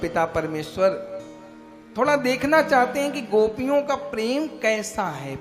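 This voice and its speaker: A man's voice with very wide pitch swings over background music. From Bihar, India. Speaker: religious discourse preacher. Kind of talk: religious sermon.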